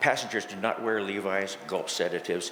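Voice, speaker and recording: This man has an American accent and a fairly low pitch. Noticeable background noise can be heard. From California, Italian fishing community. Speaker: fisherman poet. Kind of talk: reading aloud.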